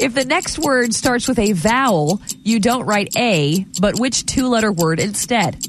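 Talking fairly slowly with hardly any pauses, a woman with an ordinary speaking voice keeps a very even loudness and lively intonation. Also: fairly high pitch for a woman. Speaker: radio host. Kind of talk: radio dj patter.

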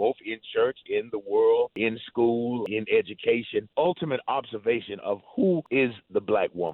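A man's fairly low voice, with ordinary pitch variation, a moderate pace and a dry, close sound with no echo.

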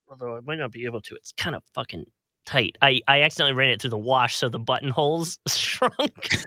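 In a dry, close recording with no echo, a man with a bright, sharp tone speaks at a fairly quick pace and a medium pitch, with ordinary pitch variation and big swings in loudness. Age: 30s. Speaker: podcast co-host. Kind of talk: casual chat. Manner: animated.

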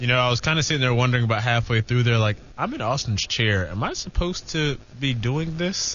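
Amid noticeable background noise, a man of medium pitch talks at a very fast pace with ordinary pitch variation. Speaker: sports reporter. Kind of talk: casual chat.

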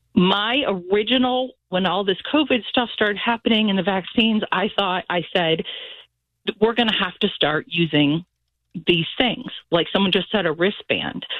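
Speaking with an unremarkable speaking voice, a woman keeps a medium pitch, ordinary pitch variation, very even loudness and a moderate pace. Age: 50s. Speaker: caller. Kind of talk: casual chat. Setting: phone call.

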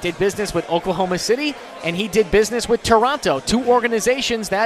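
Speaking very fast over noticeable background noise, a man uses a high-pitched voice and an animated tone. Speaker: sports radio host. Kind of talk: live sports radio show patter, remote broadcast from a bar. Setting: radio studio broadcast on location at a restaurant. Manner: fast, animated, punchy talker promoting phone and text lines between segments.

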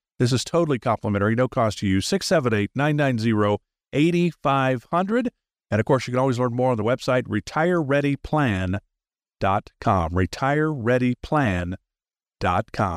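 A man's unremarkable speaking voice at a medium pitch, with lively intonation, very even loudness and a moderate pace, in a dry, close sound with no echo on a very clean recording with a silent background. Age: 60s. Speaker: radio host. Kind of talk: radio talk show interview. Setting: studio.

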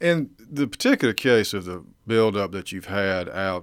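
A man speaks with a Georgia accent. His voice sits at a fairly low pitch. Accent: Georgia Southern. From US South, eastern Georgia (Burke County). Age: 30s. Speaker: local political candidate, insurance agent. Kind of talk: radio interview. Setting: studio. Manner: formal and polite.

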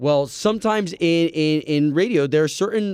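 Here a man talks with a fairly high pitch and a plain, everyday voice. He keeps a moderate pace and lively intonation. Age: 30s. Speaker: radio host. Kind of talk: casual chat.

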